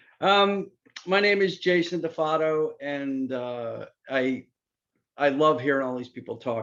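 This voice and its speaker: A man at a moderate pace with lively intonation. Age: 60s. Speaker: hairdresser. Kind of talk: testimony. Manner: halting.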